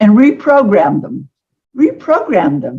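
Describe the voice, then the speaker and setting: Her pitch is high for a woman, and she talks at a fairly slow pace. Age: 70s. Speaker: energy medicine teacher. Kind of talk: interview. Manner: halting.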